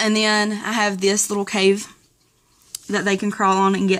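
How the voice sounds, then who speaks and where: A woman speaks at a medium pitch in a flat monotone. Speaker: turtle keeper. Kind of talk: casual talk to camera.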